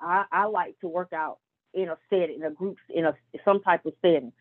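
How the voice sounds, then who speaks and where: Moving at a fairly slow pace, this is a plain, everyday voice. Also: woman. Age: 40s. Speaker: nurse. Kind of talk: casual interview.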